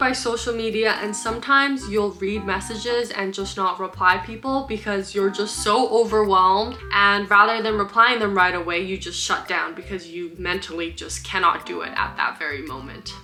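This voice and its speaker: A woman at a medium pitch and moderate pace, with hardly any pauses, big swings in loudness and noticeable background noise. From Canada. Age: 20s. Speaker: lifestyle vlogger. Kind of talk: casual talk to camera.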